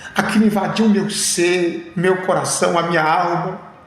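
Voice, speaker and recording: Amid audible room echo and noticeable background noise, a man speaks at a fairly slow pace in a high pitch with flat, monotone intonation. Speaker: pastor. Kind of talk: testimony.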